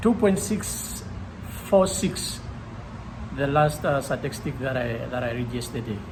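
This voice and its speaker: Speaking at a fairly slow pace, a man uses lively intonation. Noticeable background noise and audible room echo fill the recording. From Namibia. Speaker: gym-goer. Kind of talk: casual interview. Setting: gym.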